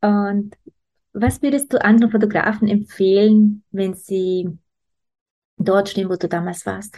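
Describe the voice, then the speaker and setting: A woman's somewhat breathy, dark, mellow voice at medium pitch, fairly slow and fairly even, with long, frequent pauses. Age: 30s. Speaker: business coach and podcast host. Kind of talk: interview.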